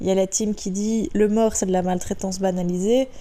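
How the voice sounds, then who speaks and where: A woman at a medium pitch and moderate pace, dark and mellow in tone, with fairly even intonation. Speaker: horse rider. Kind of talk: casual talk to camera.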